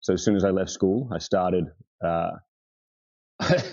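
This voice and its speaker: A man with an Australian accent, lively intonation and a fairly quick pace. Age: 30s. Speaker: furniture restorer. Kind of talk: casual chat. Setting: podcast interview.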